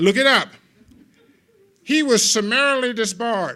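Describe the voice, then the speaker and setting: Raised and projected, a man's extremely high-pitched voice carries a bright, sharp tone and an American accent at a moderate pace. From Los Angeles, US. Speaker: lawyer and legal humorist giving a CLE talk. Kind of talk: humorous continuing legal education talk. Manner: animated.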